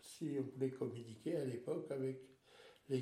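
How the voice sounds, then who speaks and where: This man's voice carries some breathiness. His delivery is fairly slow. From Alsace, France. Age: 70s. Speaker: retiree sharing life story. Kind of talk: interview, life story. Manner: halting, with many repetitions.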